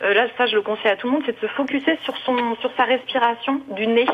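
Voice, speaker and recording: Noticeable background noise sits behind this woman. She talks at a very fast pace in a fairly high pitch. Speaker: caller. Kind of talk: testimony. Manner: cheerful.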